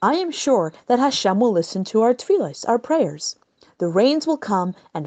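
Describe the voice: Plain reading aloud in a quiet background.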